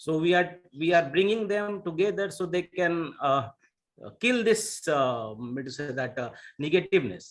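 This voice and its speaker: In a Bihari accent, a man speaks fairly slowly with lively intonation. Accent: Indian English, Bihari. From India, Bihar. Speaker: Indian community organizer. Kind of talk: panel discussion. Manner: halting, many fillers.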